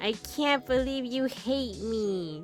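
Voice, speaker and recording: A female-sounding voice puts on a character voice with a whiny tone and a high pitch. Clear music plays in the background. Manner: whiny, demanding.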